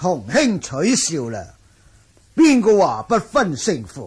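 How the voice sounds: A man puts on a character voice, fairly high and slow, with very wide pitch swings. His tone is slightly mellow, with a husky, rough edge.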